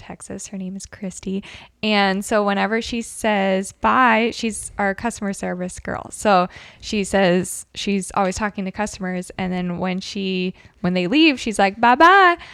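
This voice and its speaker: An unremarkable speaking voice with ordinary pitch variation, delivered at a fairly slow pace. The recording is very clean, with a silent background. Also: woman. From northern US. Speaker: podcast co-host. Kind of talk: casual chat.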